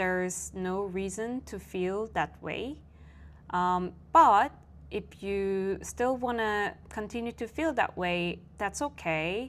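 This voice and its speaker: On a very clean recording with a silent background, a woman with a Korean accent speaks very slowly, with ordinary pitch variation. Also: medium pitch for a woman. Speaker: vlogger and coach. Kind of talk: personal vlog monologue. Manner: reflective, casual with fillers.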